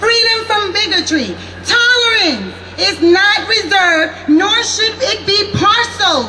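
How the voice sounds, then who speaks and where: A woman's voice is raised and projected at an extremely high pitch, with lively intonation. She speaks at a fairly slow pace over noticeable background noise. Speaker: rally speaker. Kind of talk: public rally speech. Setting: outdoor rally with PA and crowd. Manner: angry, forceful, fiery.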